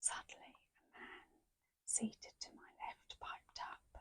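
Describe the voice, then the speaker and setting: Someone whispers at a very slow pace. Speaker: ASMR content creator. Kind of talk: ASMR book reading. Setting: close microphone. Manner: soft, whispered.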